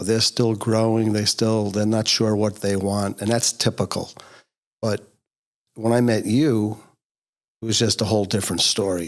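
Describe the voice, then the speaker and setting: The speech comes at a moderate pace in an American accent, with monotone, flat intonation and long, frequent pauses. The recording is very clean, with a silent background. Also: man, fairly low pitch for a man. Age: 60s. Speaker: podcast co-host. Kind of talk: casual chat. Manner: hesitant, many fillers.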